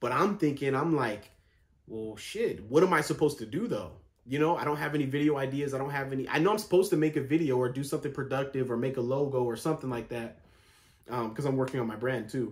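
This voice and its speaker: A man talks very fast in a somewhat breathy voice. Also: fairly high pitch for a man, ordinary pitch variation. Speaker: vlogger. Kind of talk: casual vlog monologue. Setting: home, sitting in bed.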